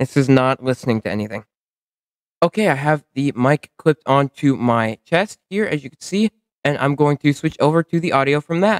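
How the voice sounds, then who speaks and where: A man's fairly high-pitched voice with ordinary pitch variation at a moderate pace, in a dry, close sound with no echo. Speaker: YouTuber. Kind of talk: product review. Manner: talking quieter than usual; casual, self-correcting.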